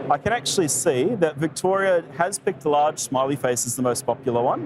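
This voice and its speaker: There is noticeable background noise as a man talks at a fairly quick pace. His pitch is fairly high and varies in an ordinary way. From New Zealand. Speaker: tech show host, developer. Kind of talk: live stream tech demo. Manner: casual, filler-heavy.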